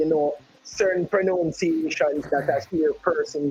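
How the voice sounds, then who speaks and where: Amid noticeable background noise, a man speaks at a high pitch and a very slow pace. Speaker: sports commentator, football announcer. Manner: careful with pronunciation of names.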